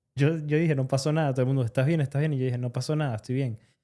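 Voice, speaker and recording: In a Venezuelan accent, a man talks with a fairly high pitch, fairly even intonation and a dark, mellow tone, on a very clean recording with a silent background. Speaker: podcast co-host, roofer. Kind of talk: casual podcast conversation.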